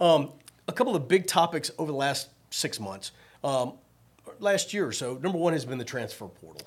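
With an American accent and vocal fry, the speaker talks at a fairly quick pace with lively intonation and long, frequent pauses. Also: man, fairly high pitch for a man. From Virginia, Richmond. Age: 50s. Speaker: podcast host, sports director. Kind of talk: casual interview.

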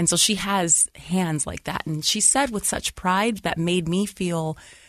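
Against a quiet background, a normal speaking voice with an American accent proceeds at a fairly slow pace. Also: woman. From Lorain, Ohio (near Cleveland). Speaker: educator and school founder. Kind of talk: casual interview conversation.

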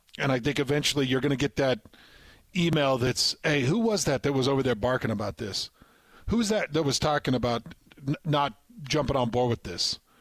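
In a normal speaking voice, a man with a fairly high pitch talks at a fairly quick pace with lively intonation and very even loudness, the sound dry and close with no echo. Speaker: radio host. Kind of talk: casual sports talk radio. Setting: radio studio.

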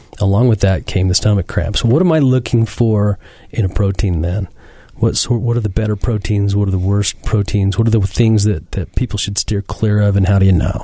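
A man with a plain, everyday voice speaks at a fairly quick pace and a fairly low pitch. His loudness stays very even, and his intonation is fairly even. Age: 40s. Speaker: fitness podcast host and gym owner. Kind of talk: casual interview. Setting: studio.

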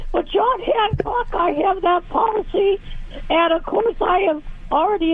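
A woman with an American accent speaks at a fairly slow pace with ordinary pitch variation. Background noise is noticeable. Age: 80s+. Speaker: caller. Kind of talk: call-in question. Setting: phone call.

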